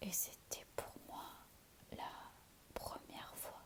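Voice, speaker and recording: Noticeable background noise is present. Under it, a woman whispers very slowly. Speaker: ASMR content creator. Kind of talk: ASMR whispered relaxation video. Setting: home, sitting on a sofa. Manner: whispered, soft.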